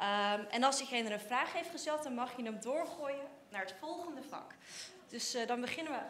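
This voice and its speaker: Lively intonation at a moderate pace comes through over light background noise and audible room echo. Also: woman. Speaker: student presenter; event host. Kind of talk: event hosting for children. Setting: lecture hall with audience. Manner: energetic. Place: hall. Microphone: handheld.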